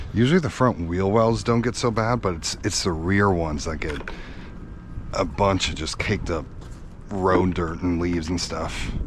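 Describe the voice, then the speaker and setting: Over noticeable background noise and audible room echo, a man with a very deep, low pitch speaks at a moderate pace with ordinary pitch variation. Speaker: car content creator. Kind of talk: casual vlog narration while washing car. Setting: outdoors.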